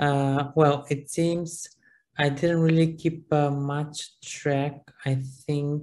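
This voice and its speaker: A very slow pace with a Macedonian accent. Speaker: university lecturer. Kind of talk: seminar class discussion. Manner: halting.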